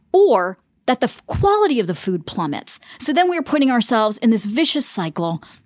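A woman with a fairly high pitch and an unremarkable speaking voice, at a fairly quick pace, in a dry, close sound with no echo. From US South (Winston-Salem, North Carolina). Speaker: journalist and author. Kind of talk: interview. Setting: hotel room.

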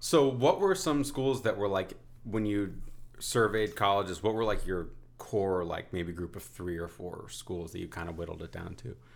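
Speaking in a plain, everyday voice with an American accent, a man at a fairly low pitch keeps a moderate pace, with ordinary pitch variation and big swings in loudness. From New Haven, Connecticut, US. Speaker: podcast host. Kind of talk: interview. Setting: at the guest's home.

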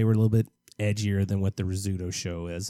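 A man with an American accent speaks in a dark, mellow tone, the sound dry and close with no echo. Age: 40s. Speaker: podcast co-host. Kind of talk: casual chat.

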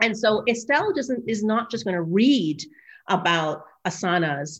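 Lively intonation marks this woman's speech in a Maritimes accent. She talks at a fairly slow pace over a quiet background. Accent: Canadian English (Maritimes). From Nova Scotia, Canada (Dartmouth). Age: 40s. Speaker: professor. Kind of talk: podcast interview. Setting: video call.

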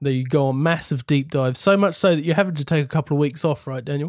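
A man speaks with a New Zealand accent, fairly high in pitch and fairly even in intonation. The recording is very clean, with a silent background and a dry, close sound with no echo. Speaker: podcast host. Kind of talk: casual chat.

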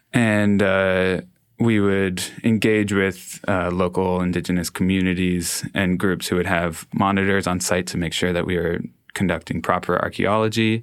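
A man with a Canadian accent and a very deep, low pitch, monotone and flat in intonation at a moderate pace, on a very clean recording with a silent background. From Canada, Toronto. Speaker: artist and musician. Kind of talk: interview.

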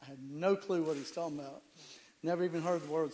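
A man with a fairly high pitch and ordinary pitch variation speaks in a normal speaking voice. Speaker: church member giving testimony. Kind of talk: testimony.

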